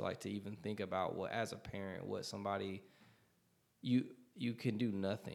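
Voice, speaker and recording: A man with a plain, everyday voice talks at a moderate pace. His pitch sits fairly low, and his intonation stays fairly even. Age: 30s. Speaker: podcast co-host. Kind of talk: casual chat. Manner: casual, profane.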